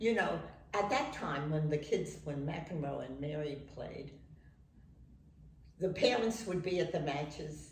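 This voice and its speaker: Speaking with a very deep, low pitch, a woman uses lively intonation at a fairly slow pace with long, frequent pauses. Audible room echo and noticeable background noise fill the recording. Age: 80s+. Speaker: tennis parent. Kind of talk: interview.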